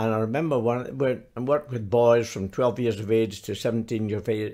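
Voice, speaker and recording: In a very clean recording with a silent background, a man with a Scottish accent speaks at medium pitch with ordinary pitch variation. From Glasgow, Scotland. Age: 80s+. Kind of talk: interview answer.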